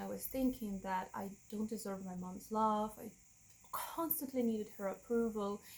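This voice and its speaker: Somewhat breathy and fairly high in pitch, a woman speaks with a Russian accent. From Russia, Moscow. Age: 30s. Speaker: vlogger. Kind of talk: personal testimony. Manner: halting.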